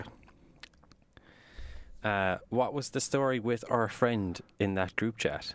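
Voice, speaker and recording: At a very slow pace, a man with an Irish accent talks at a medium pitch with fairly even intonation. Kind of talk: casual podcast conversation.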